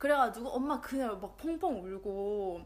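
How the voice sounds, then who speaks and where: With a bright, sharp tone, a woman speaks in a lively intonation. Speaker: podcast co-host. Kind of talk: casual chat.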